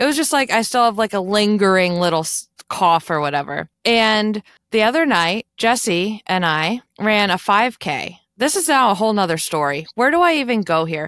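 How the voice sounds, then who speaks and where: Very wide pitch swings mark this animated delivery at a moderate pace. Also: woman, medium pitch for a woman. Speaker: podcast host. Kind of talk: casual chat. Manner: animated, chatty.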